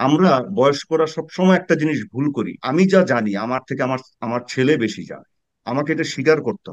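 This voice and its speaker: A man uses an ordinary speaking voice at a fairly high pitch with ordinary pitch variation. His loudness swings a great deal. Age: 50s. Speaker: political commentator, former military officer. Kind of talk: panel discussion.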